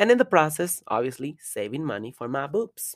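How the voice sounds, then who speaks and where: A woman's very deep, low voice in a Spanish accent. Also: very clean recording, silent background. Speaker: podcaster and adult performer. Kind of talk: casual monologue; reading aloud a personal letter.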